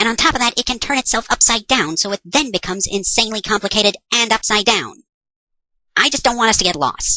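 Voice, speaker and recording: A female-sounding put-on character voice sits fairly high. It races along at a very fast pace. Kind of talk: comedy parody dub. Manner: sarcastic, exasperated.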